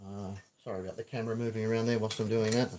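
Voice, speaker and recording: Fairly even intonation in a medium-pitched male voice. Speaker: prop maker. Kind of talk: livestream tutorial. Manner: mumbling.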